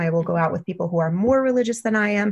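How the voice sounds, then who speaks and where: A woman talks with an American accent while music plays in the background. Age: 30s. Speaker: podcast listener sharing dating story. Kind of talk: casual chat.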